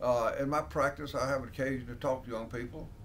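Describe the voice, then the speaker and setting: Speaking in an Alabama accent, a man with a fairly high pitch talks at a fairly quick pace. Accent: Southern US (Alabama). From US South, Alabama (Dothan). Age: 70s. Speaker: country lawyer. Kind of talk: interview answers, casual. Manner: halting, with repetitions and fillers.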